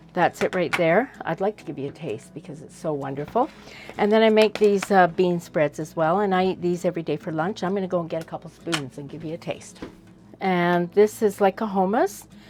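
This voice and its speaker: A woman with an unremarkable speaking voice talks fairly quickly at a fairly low pitch, with ordinary pitch variation and big swings in loudness. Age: 60s. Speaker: homesteader. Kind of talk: casual chat.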